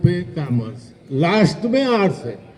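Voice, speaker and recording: This man has a dark, mellow tone and a high pitch. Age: 70s. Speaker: retired teacher. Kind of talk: speech at alumni event.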